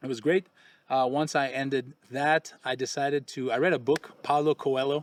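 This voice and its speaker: Speaking with a Quebec accent, a man uses a fairly high pitch and fairly even intonation at a moderate pace. The sound is dry and close, with no echo. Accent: French Canadian accent in English. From Quebec, Canada. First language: French. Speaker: expat real estate channel host. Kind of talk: casual chat. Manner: halting.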